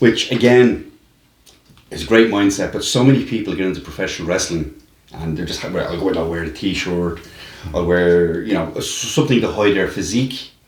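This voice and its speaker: A man with a strong Dublin accent, fairly low pitch, ordinary pitch variation and fairly quick pace, in audible room echo. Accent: heavy Dublin. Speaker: wrestling promoter, podcast host. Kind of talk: interview.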